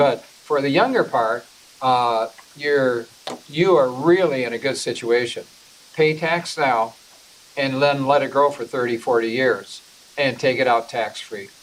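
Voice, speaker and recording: Amid noticeable background noise, a man talks at a fairly slow pace with ordinary pitch variation and long, frequent pauses. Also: medium pitch for a man. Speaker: personal finance class instructor. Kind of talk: lecture.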